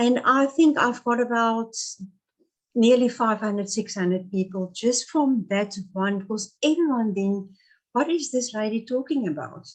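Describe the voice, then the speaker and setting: In a South African accent, a woman speaks with a fairly high pitch, lively intonation and a fairly slow pace. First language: Afrikaans. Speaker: pastoral narrative therapist. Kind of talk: interview. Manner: halting.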